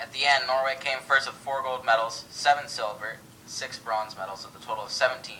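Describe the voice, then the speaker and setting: Delivered at a fairly quick pace with fairly even intonation, the speech shows big swings in loudness against noticeable background noise. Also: man, medium pitch for a man. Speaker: co-host of a school history project radio broadcast. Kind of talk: mock 1920s radio broadcast, scripted co-host talk.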